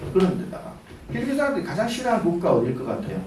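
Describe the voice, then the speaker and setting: A man in a Daegu accent with very wide pitch swings, audible room echo and noticeable background noise. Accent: Daegu dialect (Gyeongsang). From Daegu, South Korea. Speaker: businessman and guest lecturer. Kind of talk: lecture. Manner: casual, conversational.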